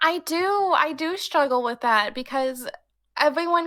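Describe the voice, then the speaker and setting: A woman speaks loudly at a fairly slow pace, her tone bright and sharp, with ordinary pitch variation. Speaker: streamer. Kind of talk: casual chat.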